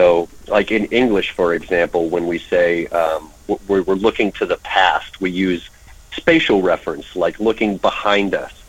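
A man with an American accent speaks in a very deep, low voice. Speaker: linguist. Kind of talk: radio interview. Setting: phone or remote call.

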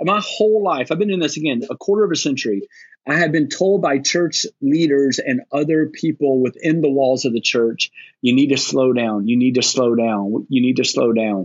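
At a moderate pace and very even loudness, a man with a fairly high pitch uses lively intonation in an ordinary speaking voice. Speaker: lead pastor. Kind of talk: casual panel discussion. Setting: video call.

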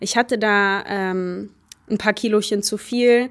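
A woman with a fairly high pitch speaks in a normal speaking voice at a fairly slow pace, her intonation fairly even. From Germany, Baunatal, Hesse. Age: 20s. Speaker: hurdler and student. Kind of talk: interview.

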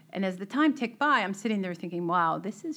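A woman's bright, sharp voice with an American accent, lively intonation and vocal fry. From Boston area, Melrose. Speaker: tech CEO and board member. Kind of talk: interview conversation.

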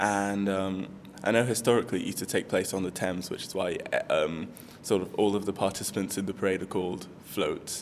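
A man delivers his words at a fairly quick pace in a flat monotone with a fairly low pitch. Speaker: university student. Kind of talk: interview.

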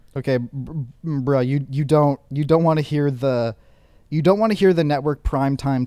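A man with an ordinary speaking voice talks at a moderate pace. His pitch is fairly high, with ordinary variation. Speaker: podcast co-host. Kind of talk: casual banter.

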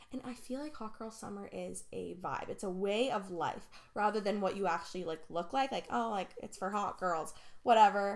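A woman talks at a medium pitch, her voice showing vocal fry. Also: ordinary pitch variation, moderate pace. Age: 20s. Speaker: podcast host. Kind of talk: casual solo monologue. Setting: home basement. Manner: rambling, filler-heavy.

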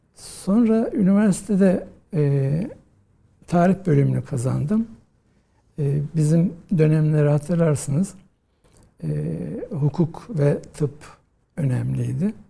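A man with a fairly high voice speaks at a very slow pace, pausing long and often, with ordinary pitch variation. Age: 50s. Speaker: historian, professor. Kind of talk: interview.

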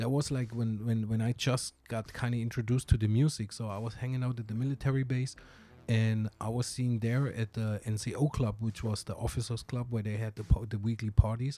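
Fairly quick male speech in a German accent, dark and mellow in tone, monotone and flat, on a very clean recording with a silent background. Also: medium pitch for a man. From southern Germany. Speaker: hip hop DJ and producer. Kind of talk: casual interview chat.

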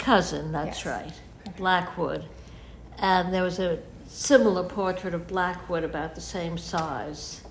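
Someone with an American accent speaks at a fairly slow pace, with ordinary pitch variation and big swings in loudness, over noticeable background noise. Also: woman, fairly low pitch for a woman. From New York. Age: 80s+. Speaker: photographer. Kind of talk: interview. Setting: at home. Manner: halting.

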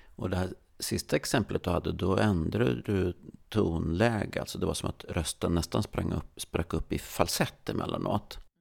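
Lively intonation and vocal fry in a man's very deep, low voice. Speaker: stress researcher, podcast co-host. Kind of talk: casual chat. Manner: slow; trailing off in volume.

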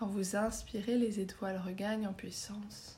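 The tone is soothing and calm, and the pace is fairly slow. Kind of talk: guided meditation (yoga nidra) for sleep, star-sky visualisation. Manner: slow, soft-spoken, soothing, with long pauses; calm, gentle, hypnotic, even pace.

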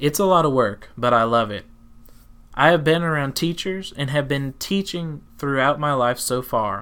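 Speaking in a Southern US accent, a man has a fairly high pitch and a bright, sharp tone. The recording is very clean, with a silent background. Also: ordinary pitch variation, moderate pace. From Tennessee. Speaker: teacher and podcast host. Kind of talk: personal storytelling, podcast narration.

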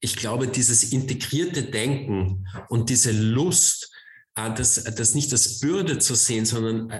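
In a slight Viennese accent, a man talks at a very slow pace with a medium, somewhat breathy voice and ordinary pitch variation, and the room echo is audible. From Austria, Vienna. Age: 40s. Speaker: author and cultural manager.

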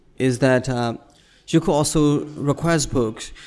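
With a Burmese accent, a man speaks at a medium pitch with ordinary pitch variation in a very clean recording against a silent background. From Myanmar, Yangon suburb. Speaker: poet and visual artist. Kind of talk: interview.

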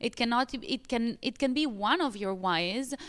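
The intonation here is lively. The voice carries an Italian accent. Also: woman. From Italy. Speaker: pilates studio owner. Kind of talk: podcast interview.

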